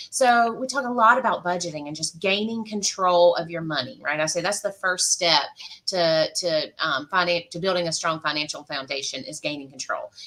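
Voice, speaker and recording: At a moderate pace, a woman with a Georgia accent speaks at a fairly low pitch with lively intonation over noticeable background noise. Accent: Georgia twang, noticeable. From US South, South Georgia. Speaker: financial counselor and military spouse. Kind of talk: casual panel chat. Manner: many fillers (um, uh).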